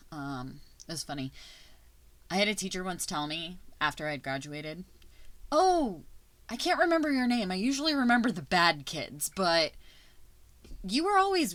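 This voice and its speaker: A woman speaks in an animated tone at a moderate pace, with very wide pitch swings and big swings in loudness. Her pauses are long and frequent, and the recording is very clean with a silent background. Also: medium pitch for a woman. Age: 30s. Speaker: podcast host and teacher. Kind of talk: casual personal monologue.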